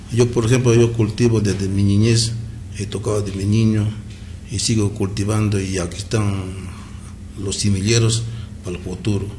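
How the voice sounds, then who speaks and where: Monotone, flat intonation comes at a moderate pace with long, frequent pauses, audible room echo and noticeable background noise. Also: man, fairly low pitch for a man. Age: 60s. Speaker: traditional musician. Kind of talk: radio interview.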